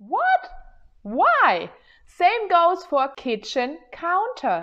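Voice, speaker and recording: A woman's extremely high voice in a German accent, very slow in pace, with very wide pitch swings. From Germany. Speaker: YouTuber. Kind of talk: casual vlog talk. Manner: animated.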